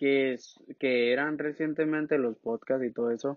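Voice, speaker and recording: A man speaks at a fairly slow pace with a medium pitch. His intonation is monotone and flat. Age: 20s. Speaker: podcast co-host. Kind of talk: casual chat.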